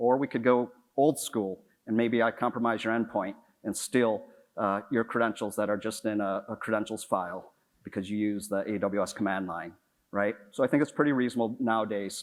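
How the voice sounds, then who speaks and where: A man's fairly low-pitched voice with fairly even intonation, on a very clean recording with a silent background. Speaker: conference speaker on cloud security. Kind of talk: conference talk. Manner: fast.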